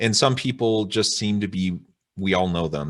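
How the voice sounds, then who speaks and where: Here is a man with an unremarkable speaking voice, fairly low in pitch with ordinary pitch variation. He talks at a moderate pace over a quiet background. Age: 40s. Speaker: podcast host, professor. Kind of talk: interview.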